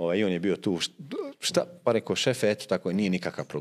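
At a fairly quick pace, a man talks in a very deep, low pitch. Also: quiet background. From Bosnia, Posavina region near Bosanski Šamac; Bosnia. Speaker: football coach and former player; football coach guest. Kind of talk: interview. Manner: halting, many fillers and repetitions. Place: studio. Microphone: studio mic.

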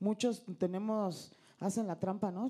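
A woman's dark, mellow voice at a moderate pace, with ordinary pitch variation and a quiet background. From Mexico, State of Mexico. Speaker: legislator. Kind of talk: committee comment. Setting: legislative committee meeting. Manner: animated. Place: meeting room. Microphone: handheld.

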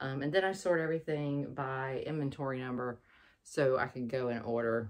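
Against a quiet background, a woman with a very deep, low pitch speaks with ordinary pitch variation. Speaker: online clothing reseller. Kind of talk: casual vlog chat. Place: home room.

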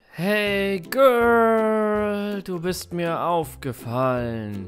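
A man's high voice at a very slow pace, with very wide pitch swings and music in the background. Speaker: animator and voice performer. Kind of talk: comedy animation dialogue. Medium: cartoon.

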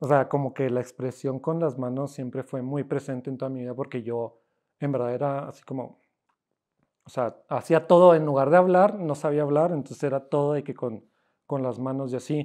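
Against a quiet background, a man with a fairly high pitch and a dark, mellow tone speaks at a moderate pace with fairly even intonation. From Cuauhtémoc, Chihuahua, northern Mexico; Chihuahua, Mexico. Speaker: self-taught painter; interviewee. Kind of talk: casual interview. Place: workshop.

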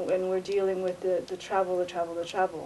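A woman speaks in an American accent. Light background noise sits behind her. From United States. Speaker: vlogger. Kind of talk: casual monologue. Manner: halting. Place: hall. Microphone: webcam.

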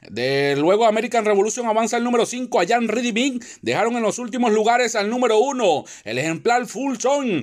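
A man talks at a moderate pace. His voice is extremely high, with ordinary pitch variation. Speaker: horse race caller. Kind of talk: live horse race commentary, call escalating toward the finish. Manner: formal, announcer-style delivery with crisp rhythmic phrasing.

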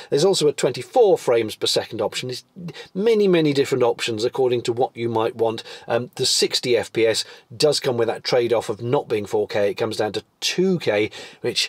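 The sound is dry with no echo as a man speaks at a fairly quick pace. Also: quiet background. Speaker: product reviewer. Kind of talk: product review. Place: car.

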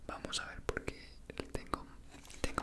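The speaker is soft-spoken. Loud background noise is present. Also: man. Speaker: ASMR creator. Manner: soft, hushed ASMR close-mic talk. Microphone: handheld.

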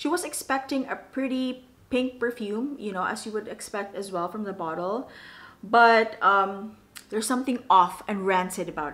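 Woman's voice at a moderate pace, lively in intonation, with big swings in loudness. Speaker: perfume reviewer. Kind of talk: casual talk to camera. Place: home room.

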